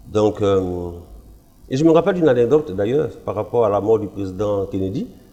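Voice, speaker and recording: Over music in the background, a man speaks at a fairly low pitch with lively intonation. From Ivory Coast. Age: 60s. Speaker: pastor. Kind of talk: testimony.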